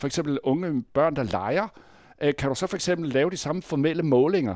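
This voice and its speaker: In a very clean recording with a silent background, a man with a normal speaking voice talks at a fairly quick pace, with fairly high pitch and lively intonation. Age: 60s. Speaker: university lecturer. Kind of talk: interview.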